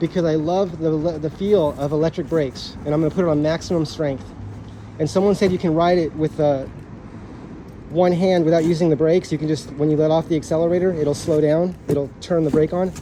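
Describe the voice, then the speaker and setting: Here a man talks at a fairly high pitch. His intonation stays fairly even at a fairly quick pace. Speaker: scooter reviewer. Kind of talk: unboxing video. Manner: fast.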